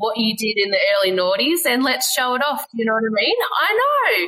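A woman talks at a fairly quick pace with an Australian accent. Her pitch is fairly high. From Australia, Western Australia. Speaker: fashion designer and small business owner. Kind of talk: casual chat.

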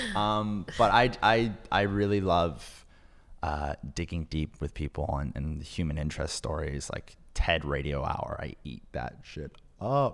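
Very deep and low, a man's voice carries vocal fry and lively intonation at a fairly slow pace. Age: 20s. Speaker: podcast producer. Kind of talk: casual interview.

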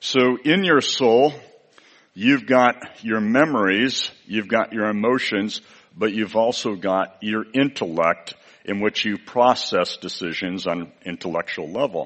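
Noticeable background noise sits behind a man's voice. He talks at a fairly slow pace in a fairly low pitch. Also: ordinary pitch variation. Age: 60s. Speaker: visiting preacher. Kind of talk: sermon.

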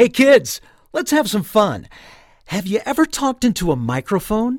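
On a very clean recording with a silent background, a booming, fairly high put-on character voice moves at a moderate pace with very wide pitch swings. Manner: hearty, booming, cheerful.

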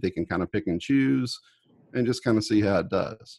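With a plain, everyday voice, a man talks at a fairly quick pace, fairly low in pitch and with lively intonation, in a dry, close sound with no echo. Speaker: indie author.

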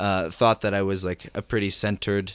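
A man speaks with monotone, flat intonation. The sound is dry and close with no echo, and the recording is very clean with a silent background. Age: 20s. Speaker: musician. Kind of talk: casual chat. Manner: halting.

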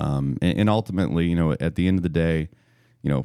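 With an American accent, a man speaks at a very deep, low pitch in a dark, mellow tone. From Missouri, US. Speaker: brewery owner. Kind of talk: casual interview chat.

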